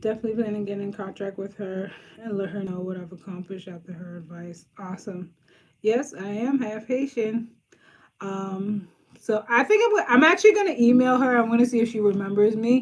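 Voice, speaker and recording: A fairly high-pitched, somewhat breathy woman's voice with an American accent, ordinary pitch variation and a fairly quick pace. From Boston, Brighton. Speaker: social worker and career coach. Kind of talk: casual live stream chat with viewers. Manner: casual, frequent um fillers.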